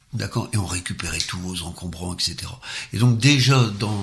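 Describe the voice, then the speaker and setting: An unremarkable speaking voice comes from a man at a fairly low pitch with ordinary pitch variation. He talks at a fairly quick pace. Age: 60s. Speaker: former social worker, cycling enthusiast. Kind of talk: interview.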